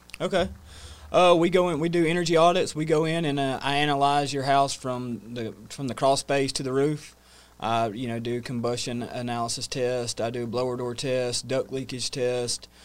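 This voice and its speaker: A man with a Southern US accent speaks on a very clean recording with a silent background. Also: medium pitch for a man, ordinary pitch variation, moderate pace. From US South, North Georgia. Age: 30s. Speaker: energy efficiency business owner. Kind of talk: casual interview. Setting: studio.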